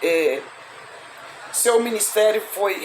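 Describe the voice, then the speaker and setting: Recorded with audible room echo and noticeable background noise, a woman talks at a medium pitch with ordinary pitch variation. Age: 60s. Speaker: evangelist, Bible teacher. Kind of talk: Bible study livestream. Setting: live stream. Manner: halting, many repetitions and fillers.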